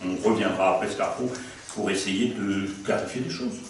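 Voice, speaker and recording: Amid noticeable background noise and audible room echo, a man speaks at a fairly low pitch with ordinary pitch variation. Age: 70s. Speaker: priest and theology lecturer. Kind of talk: lecture. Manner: conversational, hesitant fillers.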